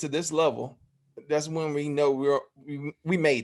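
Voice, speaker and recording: A man with a Southern US accent at a moderate pace, over a quiet background. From Alabama (Phenix City). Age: 30s. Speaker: YouTube interviewer. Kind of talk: interview. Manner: halting.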